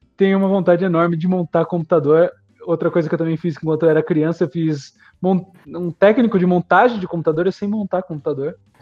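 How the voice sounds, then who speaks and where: A man with a high-pitched voice speaks at a fairly quick pace with fairly even intonation over music in the background. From Greater São Paulo (ABC region), raised in Itatiba from teens. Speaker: architecture professor. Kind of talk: interview.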